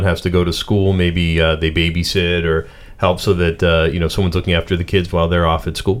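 With a Pittsburgh accent, a man with a very deep, low voice races along at a very fast pace, hardly pausing and keeping his loudness very even. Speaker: radio co-host. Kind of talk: radio interview. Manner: casual, filler-heavy.

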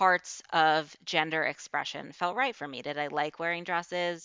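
At a fairly slow pace, a woman speaks in a fairly low voice, a normal speaking voice. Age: 20s. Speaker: nonprofit worker, podcast guest. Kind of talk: casual interview chat.

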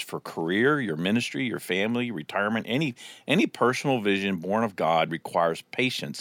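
This man has a normal speaking voice, fairly low in pitch, with lively intonation at a fairly quick pace. The sound is dry and close with no echo. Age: 50s. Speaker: pastor. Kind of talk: casual chat.

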